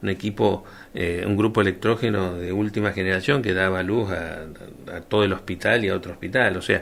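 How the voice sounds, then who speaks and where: A man with a Rioplatense accent speaks at a fairly quick pace. His pitch is fairly low, with fairly even intonation. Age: 60s. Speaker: doctor and former health official. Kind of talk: radio interview. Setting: radio studio.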